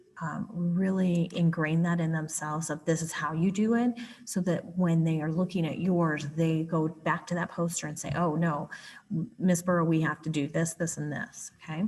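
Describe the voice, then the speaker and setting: Against a quiet background, the somewhat breathy voice keeps a moderate pace and fairly even intonation. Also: woman, fairly low pitch for a woman. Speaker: writing curriculum specialist. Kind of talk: tutorial.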